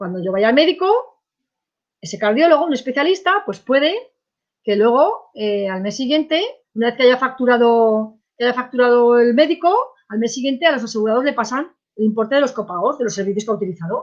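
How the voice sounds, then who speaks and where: High-pitched, a woman talks at a fairly quick pace. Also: lively intonation. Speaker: insurance course instructor. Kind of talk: online lecture. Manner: fast; hesitant fillers.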